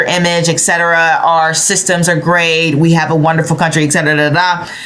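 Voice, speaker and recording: There is noticeable background noise and audible room echo as a woman speaks in a fairly low pitch with fairly even intonation. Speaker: tarot and astrology reader. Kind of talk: astrology forecast monologue. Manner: hesitant, with fillers.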